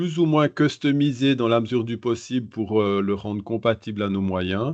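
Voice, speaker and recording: A man's voice with ordinary pitch variation. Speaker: innovation advisor. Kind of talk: podcast interview. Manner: hesitant, many fillers.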